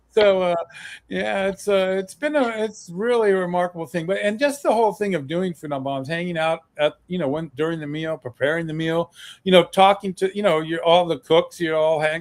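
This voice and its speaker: With a dry, close sound and no echo, a man talks at a fairly quick pace in a high pitch with ordinary pitch variation. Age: 60s. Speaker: activist and author. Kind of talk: interview. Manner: halting, many fillers.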